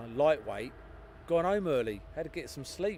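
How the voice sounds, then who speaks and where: With noticeable background noise behind him, a man speaks at a very fast pace with ordinary pitch variation. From southern England (Hertfordshire). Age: 40s. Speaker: plane spotting live streamer. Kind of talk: live stream commentary and chat reading. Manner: casual, chatty.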